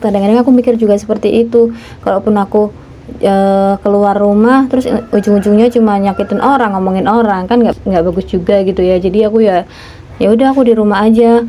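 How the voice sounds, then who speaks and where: A woman speaks very fast at a fairly high pitch, with fairly even intonation and very even loudness. Noticeable noise sits in the background. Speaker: housewife vlogger. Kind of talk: casual vlog monologue. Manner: fast, no pauses; talks too fast, tongue-tied.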